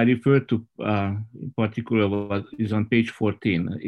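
At a fairly slow pace, a man speaks with medium pitch. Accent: Hungarian. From rural southern Hungary. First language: Hungarian. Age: 60s. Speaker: Baptist pastor. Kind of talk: roundtable discussion. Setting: video call.

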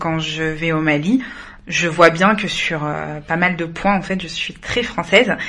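Through noticeable background noise, a woman speaks at a fairly slow pace and a fairly low pitch with ordinary pitch variation. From France, Malian heritage. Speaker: podcast co-host. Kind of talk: casual interview.

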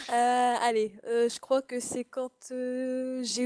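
A woman speaks very slowly in a high voice, recorded dry and close with no echo. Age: 20s. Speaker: podcast co-host. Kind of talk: casual chat.

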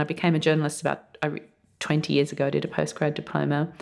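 Here is a woman speaking. She talks with an Australian accent. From Australia, outback mining town. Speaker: journalist and writer, essay prize winner. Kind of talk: interview. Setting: on location in a college.

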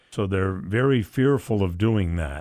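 A man speaks at a fairly slow pace with an American accent. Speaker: arena announcer and domestic violence advocate. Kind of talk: radio interview.

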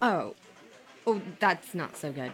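A woman's put-on character voice, fairly low in pitch with a slightly husky edge, slow in pace and lively in intonation

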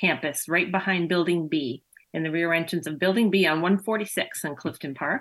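Here a woman speaks at a moderate pace. Her voice has a medium pitch. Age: 50s. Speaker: massage therapist and physical therapist. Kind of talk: interview.

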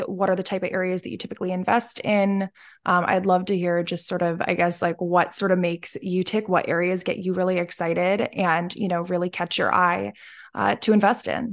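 With an American accent, a woman speaks at a moderate pace and medium pitch in an unremarkable speaking voice, against a quiet background. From Pennsylvania. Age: 20s. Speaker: podcast host. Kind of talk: interview.

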